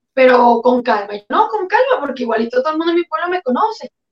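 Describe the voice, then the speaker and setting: A woman speaks with a high pitch. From Venezuela. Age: 20s. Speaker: asylum seeker, former youth political leader. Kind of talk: testimony.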